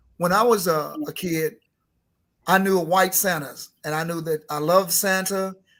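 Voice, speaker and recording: The delivery is at a moderate pace, with fairly even intonation. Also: man, high pitch for a man. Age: 60s. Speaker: Santa performer. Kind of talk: casual chat.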